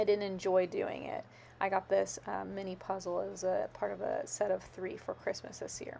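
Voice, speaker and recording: Soft-spoken, a woman talks at a moderate pace with music in the background. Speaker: craft and lifestyle YouTuber. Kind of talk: voiceover narration. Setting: home recording late at night. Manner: quiet to avoid waking others.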